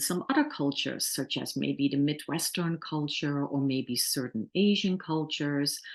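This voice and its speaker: Hardly pausing, a woman with a Dutch accent speaks at a fairly slow pace in a very deep, low pitch with ordinary pitch variation. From Netherlands. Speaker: workplace trainer. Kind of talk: webinar lecture. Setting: online webinar.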